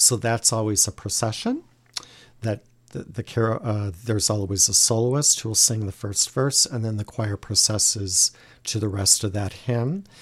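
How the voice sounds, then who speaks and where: A man talks in a somewhat breathy, fairly low voice. His pace is moderate and his intonation fairly even. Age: 50s. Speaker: liturgical music director. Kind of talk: casual interview.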